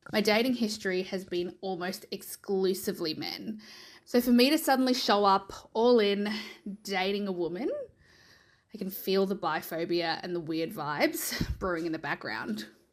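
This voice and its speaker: Speaking with an Australian accent, a woman uses lively intonation at a medium pitch. The recording is very clean, with a silent background. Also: moderate pace. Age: 30s. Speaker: listener sending a voice memo. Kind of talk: recorded voice memo testimony.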